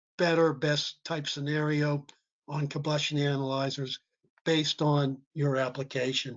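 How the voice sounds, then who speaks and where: Fairly slow speech from a man at a fairly high pitch, an ordinary speaking voice, with fairly even intonation. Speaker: combustion testing trainer. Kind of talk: webinar presentation.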